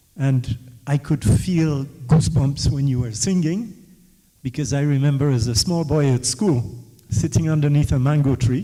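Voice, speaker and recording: A man speaks at a moderate pace with a fairly high pitch. Noticeable background noise runs underneath. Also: ordinary pitch variation. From West Africa. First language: West African Creole. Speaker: author in the audience. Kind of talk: audience question-and-answer talk. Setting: book launch event with audience.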